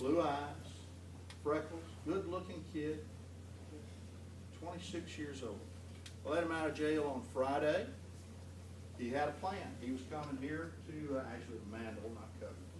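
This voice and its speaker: A man with an American accent speaks at a moderate pace and a medium pitch, his pitch swinging very widely between long, frequent pauses, over noticeable background noise and audible room echo. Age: 60s. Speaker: judge. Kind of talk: talk to school students.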